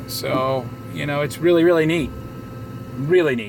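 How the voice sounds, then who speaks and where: With an American accent and fairly even intonation, a man talks over noticeable background noise in a room with audible echo. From Southwest Florida. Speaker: vlogger. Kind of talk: casual vlog monologue. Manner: halting, many fillers.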